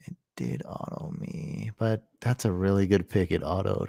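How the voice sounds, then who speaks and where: Quiet and at a fairly slow pace, a man speaks with vocal fry and very wide pitch swings in a dry, close sound with no echo. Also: very clean recording, silent background. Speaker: fantasy football streamer. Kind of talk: live stream commentary. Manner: casual.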